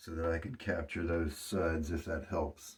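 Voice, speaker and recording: A man speaks in a somewhat breathy voice. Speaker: wet shaving hobbyist. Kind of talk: casual talk to camera, shave review.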